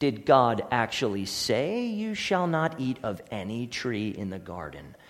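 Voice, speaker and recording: A man puts on a character voice at a medium pitch, speaking at a fairly slow pace, and there is hissing in the recording. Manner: hissing, sly, tempting.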